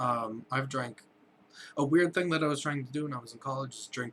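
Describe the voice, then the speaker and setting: At a fairly quick pace, a man talks at a medium pitch in an unremarkable speaking voice. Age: 20s. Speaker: vlogger and illustrator. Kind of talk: casual vlog monologue.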